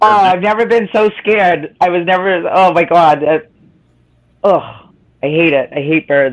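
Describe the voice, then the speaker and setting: Her delivery is animated, with a fairly low pitch for a woman, very even loudness and long, frequent pauses. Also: ordinary pitch variation, moderate pace. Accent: Boston. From Boston area, Massachusetts (North Shore near Salem). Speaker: live stream chat participant. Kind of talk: casual chat, storytelling.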